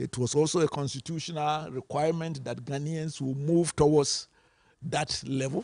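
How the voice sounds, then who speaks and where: Somewhat breathy and fairly high-pitched, a man speaks at a moderate pace with fairly even intonation. The sound is dry and close with no echo, over a quiet background. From Ghana. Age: 70s. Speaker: panelist in policy dialogue. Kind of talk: panel discussion.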